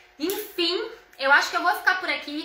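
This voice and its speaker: A woman speaks at a moderate pace in an animated, raised, projected voice. Noticeable background noise and audible room echo are present. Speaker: home decor influencer. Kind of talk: live stream tutorial.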